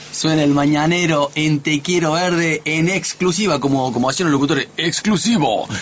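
Over noticeable background noise, a man speaks at a moderate pace and fairly high pitch, with very even loudness, ordinary pitch variation and hardly any pauses. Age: 50s. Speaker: radio host. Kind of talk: casual chat. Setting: studio.

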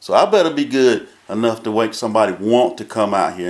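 A man's medium-pitched voice with a North Carolina accent. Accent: Southern US (North Carolina). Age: 50s. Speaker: drag racing track manager. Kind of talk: casual chat. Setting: track control tower.

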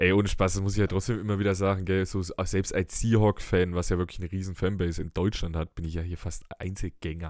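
Speech rushes by at a very fast pace with hardly any pauses and flat, monotone intonation, on a very clean recording with a silent background. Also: man, very deep, low pitch for a man. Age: 20s. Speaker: podcast host. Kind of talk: casual chat. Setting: studio.

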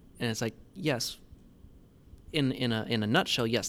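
A man with an American accent and a plain, everyday voice talks at a moderate pace and medium pitch with fairly even intonation. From Tennessee, US South. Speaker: farm manager and agriculture teacher. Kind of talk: podcast interview.

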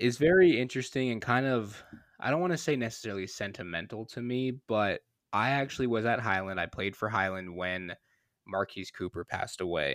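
A man with a normal speaking voice talks at a fairly quick pace, medium in pitch and lively in intonation. The sound is dry and close with no echo, and the recording is very clean with a silent background. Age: 20s. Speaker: high school sports podcast host. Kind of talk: casual chat.

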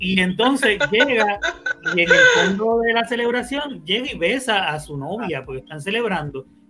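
A man speaks in a raised, projected voice at a high pitch and a moderate pace, with very wide pitch swings. His loudness swings widely, and there is noticeable background noise. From Puerto Rico. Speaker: podcast host. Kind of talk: casual chat. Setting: live stream.

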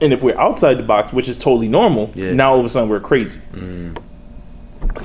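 A man with a Bronx accent talks at a medium pitch with ordinary pitch variation. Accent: New York, Bronx. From New York City, the Bronx. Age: young. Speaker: rapper and graffiti artist. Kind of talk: casual interview.

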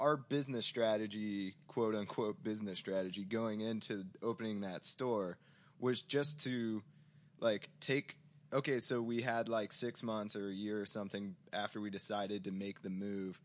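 Against a quiet background, a man speaks with an American accent at fairly low pitch. He has a normal speaking voice with ordinary pitch variation. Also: moderate pace. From US Midwest, St. Louis suburbs, Missouri. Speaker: record store owner. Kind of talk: casual chat.

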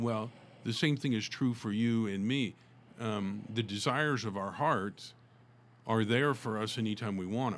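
On a very clean recording with a silent background, a man speaks in an ordinary speaking voice at medium pitch. He has an American accent, a moderate pace and ordinary pitch variation. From US South, Tulsa, Oklahoma. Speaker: author and motivational speaker. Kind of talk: interview.

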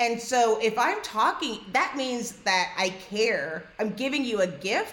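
With an American accent, a woman talks at a fairly slow pace, her pitch fairly high and her intonation lively. There is noticeable background noise. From New York. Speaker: podcast host. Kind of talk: podcast conversation.

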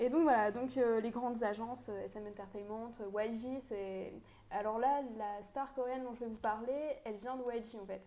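A fairly slow, fairly even delivery over noticeable background noise. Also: woman. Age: 20s. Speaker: law student, podcast co-host. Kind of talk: casual chat.

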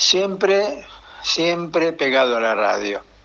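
Noticeable background noise sits behind a man speaking. He talks at a very slow pace with lively intonation. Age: 70s. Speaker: retiree. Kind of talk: interview answers.

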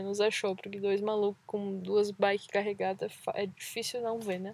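Captured in a very clean recording with a silent background, the speaking proceeds at a moderate pace. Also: woman. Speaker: travel podcast host, cyclist. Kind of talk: casual chat. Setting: outdoors by a lake.

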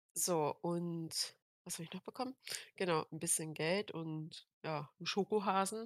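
A woman with an ordinary speaking voice talks at a fairly slow pace and a fairly low pitch, with ordinary pitch variation. The sound is dry and close, with no echo. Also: very clean recording, silent background. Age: 18. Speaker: podcast co-host. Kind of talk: casual chat.

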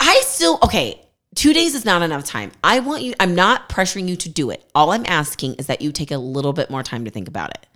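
A woman talks at a fairly quick pace with hardly any pauses, her fairly low voice bright and sharp in tone, with vocal fry and very wide pitch swings. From California, Bay Area. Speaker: podcast co-host. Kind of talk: casual chat.

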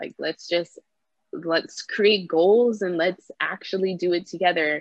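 In a Toronto accent, a woman with a fairly low pitch speaks at a fairly slow pace, her intonation fairly even. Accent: Canadian English (Toronto area). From Canada, Brampton Ontario. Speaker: street dancer. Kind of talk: casual interview.

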